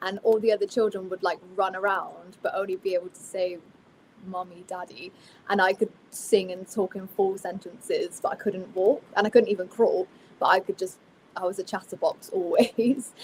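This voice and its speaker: A woman with a Somerset accent talks at a moderate pace and medium pitch, her intonation fairly even but her loudness swinging widely. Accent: Somerset accent with a twang. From Somerset, south-west England (Bristol). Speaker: country singer. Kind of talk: casual interview chat.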